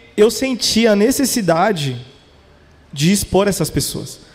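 With audible room echo, a man with a high voice speaks in a lively way, leaving long, frequent pauses. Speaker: podcast founder. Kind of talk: casual chat. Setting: stage with audience.

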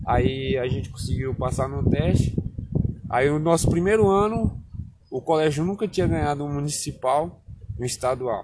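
A man talks at a moderate pace with a fairly high pitch and very wide swings in it. Noticeable noise sits in the background. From Bahia, Brazil (Barreiras; born in Alagoas). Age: 20s. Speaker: interviewee, local resident. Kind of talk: casual interview. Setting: outdoors in a town square.

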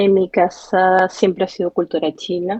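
A woman talks at a fairly slow pace in an unremarkable speaking voice. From Venezuela, Barquisimeto. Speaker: emigrant with a language degree. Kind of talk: interview testimony.

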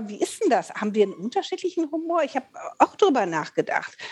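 The woman's voice sweeps through very wide pitch swings. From Rhineland, Eifel region, Germany. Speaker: podcast co-host, voice actor. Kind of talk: casual chat.

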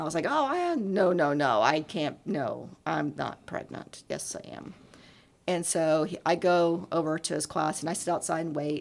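Vocal fry runs through a woman's fairly low voice. She keeps a moderate pace with ordinary pitch variation. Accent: American. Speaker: gym owner. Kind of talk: casual chat. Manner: talkative.

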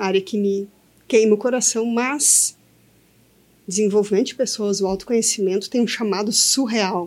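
With an unremarkable speaking voice, this woman talks at a moderate pace, her fairly high pitch carrying fairly even intonation. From Brazil, Santa Cruz do Sul, Rio Grande do Sul. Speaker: entrepreneur, co-founder. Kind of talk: casual chat. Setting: studio.

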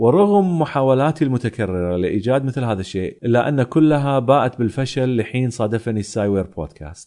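In an ordinary speaking voice, a man talks at a moderate pace with hardly any pauses. His medium-pitched voice has lively intonation over a quiet background. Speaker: science podcast host. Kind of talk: solo podcast monologue reading listener mail.

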